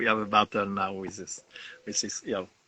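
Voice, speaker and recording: A man's bright, sharp voice with a French accent. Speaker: winegrower. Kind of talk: interview. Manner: halting.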